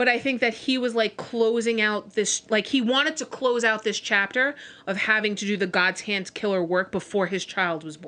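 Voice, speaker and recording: Hardly pausing, a woman with a bright, sharp tone and a fairly high pitch speaks at a moderate pace with ordinary pitch variation. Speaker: podcast co-host. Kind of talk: casual chat. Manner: slurring.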